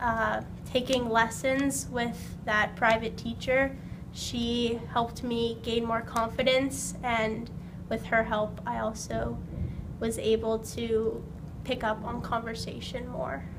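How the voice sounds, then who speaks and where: With room echo audible, a woman talks very slowly. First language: not English. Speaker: ESL learner interviewee. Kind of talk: interview.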